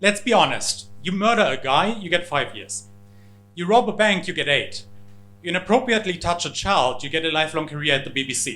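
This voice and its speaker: A man with a German accent, high-pitched for a man and bright and sharp in tone, with lively intonation at a fairly quick pace and audible room echo. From Germany. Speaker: comedian. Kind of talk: stand-up. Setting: stage with audience.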